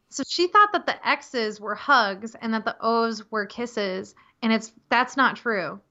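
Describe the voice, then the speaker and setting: This woman talks at a moderate pace in a normal speaking voice, her pitch fairly high. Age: 30s. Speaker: web designer and copywriter. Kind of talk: podcast interview.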